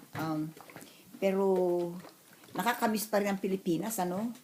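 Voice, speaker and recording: Amid noticeable background noise, a woman with a medium pitch talks at a moderate pace. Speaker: vlogger. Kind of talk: casual vlog.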